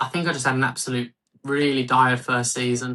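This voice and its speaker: In a Birmingham accent, a man speaks at a moderate pace with a bright, sharp tone. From Birmingham, English Midlands. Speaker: fantasy football league manager. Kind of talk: casual interview chat. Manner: halting, many fillers.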